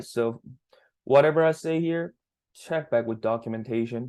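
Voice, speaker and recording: The speaker keeps a moderate pace and fairly even intonation over a quiet background. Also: man. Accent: non-native. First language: not English. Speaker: student developer teaching teammates. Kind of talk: screen-share coding tutorial. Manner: halting, self-correcting.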